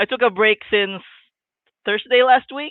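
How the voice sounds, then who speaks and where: This is a woman speaking. Her pace is moderate. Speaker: fantasy author. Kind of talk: casual chat. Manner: halting, repeats words.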